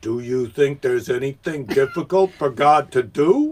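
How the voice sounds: Put-on character voice from a man, pitched fairly high, delivered at a moderate speed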